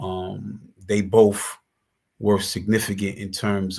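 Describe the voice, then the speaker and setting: A man with a New York accent speaks in a very deep, low voice with monotone, flat intonation. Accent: New York City. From Brooklyn, New York (East New York). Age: 40s. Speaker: former prisoner and justice advocate. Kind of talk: interview. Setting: live stream. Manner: halting, with frequent repetitions.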